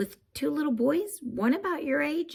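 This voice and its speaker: A woman's put-on character voice, high and raspy, with very wide pitch swings at a moderate pace. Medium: read story. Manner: jokey, chatty.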